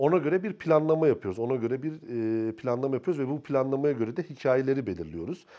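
Lively intonation marks this man's medium-pitched voice. He speaks at a very fast pace. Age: 40s. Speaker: film and TV director. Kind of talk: interview.

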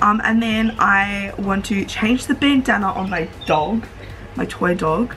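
A woman speaks with ordinary pitch variation while faint music plays behind her. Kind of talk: casual vlog chat. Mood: cheerful and relaxed. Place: home room. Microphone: phone near.

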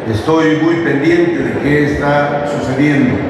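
Noticeable background noise and strong room echo surround the recording. A man speaks at a very slow pace. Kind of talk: public speech. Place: hall.

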